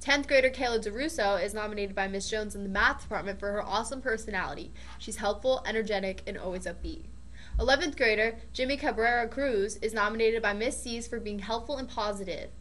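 A woman's very fast speech with vocal fry and ordinary pitch variation. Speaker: student news anchor. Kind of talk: school announcements. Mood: friendly, upbeat. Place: studio. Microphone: studio mic.

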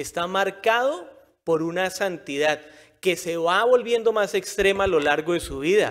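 Against a quiet background, a man with a high pitch and an animated tone speaks at a fairly slow pace with ordinary pitch variation. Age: 40s. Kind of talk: sermon. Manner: conversational, animated. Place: church. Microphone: podium.

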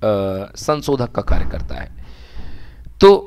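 With lively intonation, a man talks in a normal speaking voice. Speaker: teacher. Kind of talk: online class lecture.

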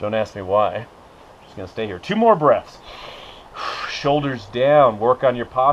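Light background noise sits under the recording. The man talks at a moderate pace. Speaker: fitness instructor. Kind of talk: exercise class instruction. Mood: playful, joking. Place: open country. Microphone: camera far.

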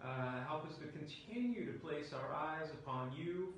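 Amid strong room echo and light background noise, a man speaks at a moderate pace with ordinary pitch variation. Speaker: pastor. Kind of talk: spoken prayer within a sermon. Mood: solemn, gentle. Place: church. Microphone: camera far.

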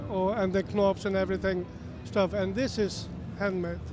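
In an Icelandic accent, a man with a high voice speaks at a fairly slow pace, the sound dry with no echo and noticeable background noise behind him. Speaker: guitar builder. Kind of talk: trade show interview. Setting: trade show floor. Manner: halting. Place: hall. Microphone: handheld.

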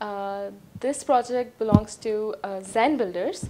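Speaking with a Pakistani accent, a woman has a fairly high pitch, ordinary pitch variation, and a dark, mellow tone, with noticeable background noise behind her. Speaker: real estate presenter; presenter. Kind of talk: promotional property presentation. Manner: hesitant with frequent fillers. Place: home room. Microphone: lapel.

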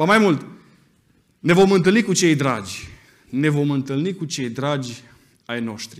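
With lively intonation and a moderate pace, a man talks against a quiet background. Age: 30s. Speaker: preacher. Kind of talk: sermon. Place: church. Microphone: podium.

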